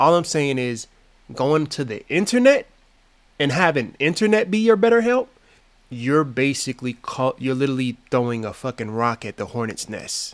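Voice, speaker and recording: With very wide pitch swings and a fairly high pitch, a man speaks in an American accent at a moderate pace on a very clean recording with a silent background. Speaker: YouTube commentator. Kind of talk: reaction commentary. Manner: casual, profane, halting.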